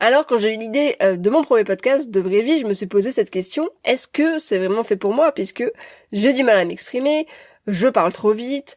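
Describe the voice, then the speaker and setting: With lively intonation and a fairly high pitch, a woman speaks at a moderate pace on a very clean recording with a silent background. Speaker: podcast host and coach. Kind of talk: solo podcast talk. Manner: hesitant, many fillers.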